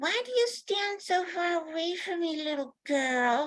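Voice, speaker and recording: A woman uses a put-on character voice, squeaky and extremely high in pitch. She goes at a fairly slow pace. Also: lively intonation. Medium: read story. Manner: odd, cooing.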